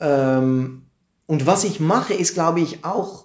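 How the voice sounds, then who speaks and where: A man speaks with a Dutch accent and ordinary pitch variation. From Netherlands, Amersfoort. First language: Dutch (speaking German). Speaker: comedian. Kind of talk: interview. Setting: live stream, in person. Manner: halting.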